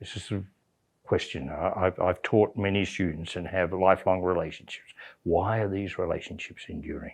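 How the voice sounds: Speaking at a moderate pace, a man with a low pitch keeps his intonation fairly even, his voice showing vocal fry and a slightly husky edge.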